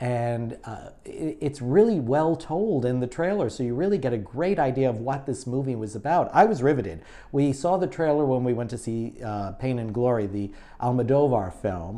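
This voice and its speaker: A man speaks with a New York accent in a dark, mellow tone. His intonation is lively. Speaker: online show host. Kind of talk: casual chat. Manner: halting.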